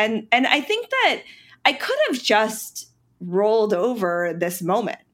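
Lively intonation marks this voice, heard with an American accent. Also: woman. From North Carolina, Charlotte. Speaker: ice cream company founder. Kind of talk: interview. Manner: hesitant, many fillers.

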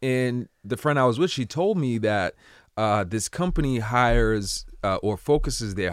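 An ordinary speaking voice, a man at medium pitch with lively intonation and a moderate pace, on a very clean recording with a silent background. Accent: American. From Cambridge, Massachusetts. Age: 30s. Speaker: entrepreneur. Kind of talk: casual interview.

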